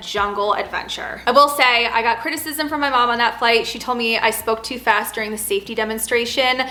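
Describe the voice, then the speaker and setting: Against noticeable background noise, a woman talks very fast in a fairly high voice with fairly even intonation. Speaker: flight attendant vlogger. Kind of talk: casual Q&A vlog.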